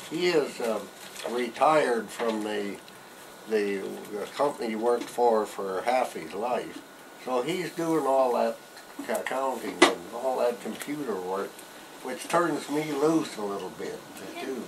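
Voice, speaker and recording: A man with an American accent talks at a fairly slow pace, with long, frequent pauses and noticeable background noise. His pitch is medium, with ordinary variation. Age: 80s+. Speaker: retired forest service conservationist. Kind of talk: interview answer. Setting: outdoors. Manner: hesitant, rambling.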